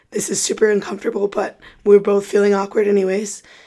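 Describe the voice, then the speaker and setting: A woman with an American accent talks at a very fast pace, her medium pitch held in a monotone, flat intonation. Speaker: podcast host, former college athlete. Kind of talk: podcast intro. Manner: casual.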